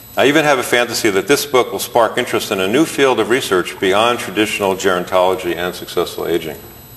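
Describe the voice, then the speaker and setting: A man speaks very fast at a medium pitch, with ordinary pitch variation and hardly any pauses. Noticeable background noise runs under his voice. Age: 60s. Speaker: chiropractor and author. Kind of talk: reading aloud from own book.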